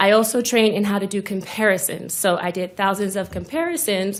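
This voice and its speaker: With a normal speaking voice, a woman talks at a moderate pace and medium pitch, using ordinary pitch variation. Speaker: forensic scientist testifying as witness. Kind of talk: courtroom testimony. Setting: courtroom.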